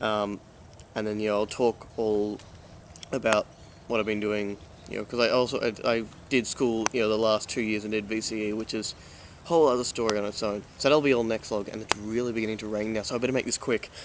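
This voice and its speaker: Very fast and in a monotone, flat intonation, a man with a fairly low pitch talks in a slight Australian accent. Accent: mild Australian, mistaken for English. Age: young. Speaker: vlogger and film student. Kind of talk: casual vlog. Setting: outdoors. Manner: many fillers, halting.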